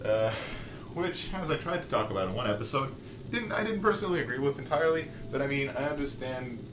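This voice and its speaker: A man's very fast speech with noticeable background noise and audible room echo. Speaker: let's play gamer. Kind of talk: casual gameplay commentary.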